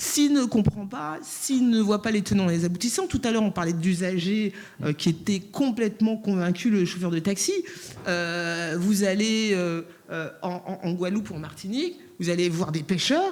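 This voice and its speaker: A woman speaks in a plain, everyday voice at a moderate pace. Her pitch is medium, with ordinary variation. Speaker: round table panelist. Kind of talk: panel discussion. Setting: conference with interpreters.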